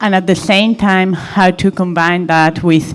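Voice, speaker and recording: The woman has a non-native accent. Her pitch stays fairly even. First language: not English. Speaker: audience member asking a question. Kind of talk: audience question. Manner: halting.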